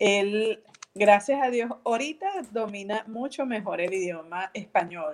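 The speaker uses a Venezuelan accent, talking at a fairly slow pace with ordinary pitch variation. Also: woman, medium pitch for a woman. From Venezuela, Valencia (Carabobo). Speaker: artist and entrepreneur. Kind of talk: casual interview.

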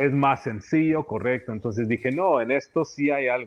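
The man talks fairly quickly in an unremarkable speaking voice. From US-born of Nicaraguan family. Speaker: deck builder, business owner. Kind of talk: interview.

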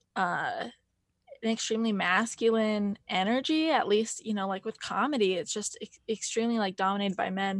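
With an American accent and a normal speaking voice, a woman talks at a moderate pace and fairly high pitch against a quiet background. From Montana, US. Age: 20s. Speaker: stand-up comedian. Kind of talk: casual chat.

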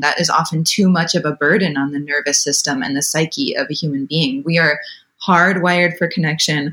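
A woman's plain, everyday voice, fairly low in pitch, with an American accent, at a moderate pace. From Wisconsin, US. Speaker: birth doula. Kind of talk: interview.

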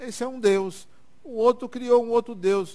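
Over a very clean recording with a silent background, a man talks at a fairly slow pace. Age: 60s. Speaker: spiritist lecturer. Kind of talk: lecture. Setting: stage with audience.

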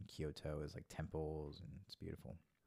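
Soft-spoken at a moderate pace, a man talks in a very deep, low pitch. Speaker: friend and singer. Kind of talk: casual chat.

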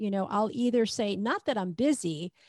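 A woman speaks at a medium pitch with ordinary pitch variation in an unremarkable speaking voice. The recording is very clean, with a silent background and a dry, close sound with no echo. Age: 60s. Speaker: marketing coach and copywriter. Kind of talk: interview on a livestream.

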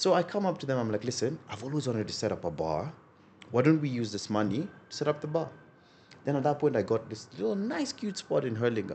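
This man talks at a very fast pace with very wide pitch swings. His voice is somewhat breathy. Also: medium pitch for a man. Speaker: bar owner and entrepreneur. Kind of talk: casual interview.

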